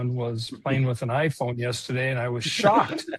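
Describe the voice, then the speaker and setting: Against a quiet background, a man with an American accent talks at a moderate pace in a somewhat breathy voice of medium pitch. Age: 60s. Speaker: retired sheriff, podcast co-host. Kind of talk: podcast interview.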